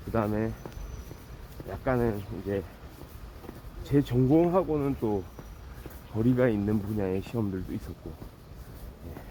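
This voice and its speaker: Over noticeable background noise, a man speaks at a fairly slow pace in a fairly low voice. His intonation is lively, and his loudness swings a lot. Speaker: vlogger. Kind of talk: walking vlog monologue. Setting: outdoors, walking. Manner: casual, with frequent filler words.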